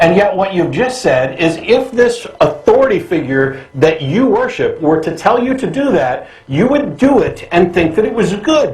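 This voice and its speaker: The voice swings very widely in pitch at a moderate pace. There is noticeable background noise. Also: man, high pitch for a man, hardly any pauses. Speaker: talk show host. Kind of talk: call-in show debate.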